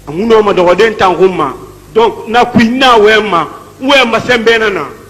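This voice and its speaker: Loud and very slow, a man's high-pitched voice shows ordinary pitch variation amid noticeable background noise and audible room echo. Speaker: defendant. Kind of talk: court testimony.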